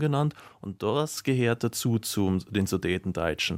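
A man's plain, everyday voice at a medium pitch, with lively intonation, in a dry, close sound with no echo and a very clean recording with a silent background. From Bavaria, Mühldorf area. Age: young. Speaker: biology teacher. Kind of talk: radio interview.

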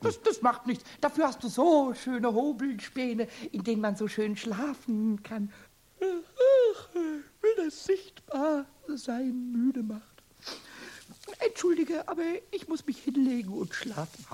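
A put-on character voice, high in pitch and fairly slow. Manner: cheeky, giggly, rhymes constantly.

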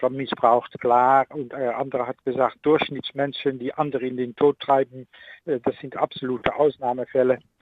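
A man at medium pitch, moderate pace and monotone, flat intonation. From Netherlands. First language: Dutch (speaking German). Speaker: ethics professor. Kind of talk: radio interview. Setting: remote connection. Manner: halting.

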